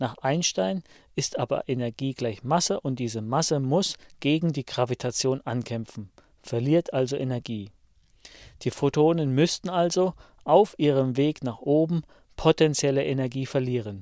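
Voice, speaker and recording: Against a silent background in a very clean recording, a man of medium pitch speaks at a moderate pace with a dark, mellow tone, ordinary pitch variation and a dry, close sound with no echo. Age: 50s. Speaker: science podcaster. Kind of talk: scripted lecture.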